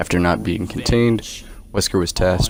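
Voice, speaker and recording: Over music in the background, a man talks in a very deep, low voice. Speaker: gaming YouTuber. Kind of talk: lore narration.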